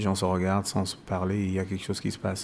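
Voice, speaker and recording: The speaker has a Cameroonian accent and a monotone, flat intonation. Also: man. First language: Bassa (speaking French). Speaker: musician and author. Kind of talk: interview. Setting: live event venue. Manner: halting.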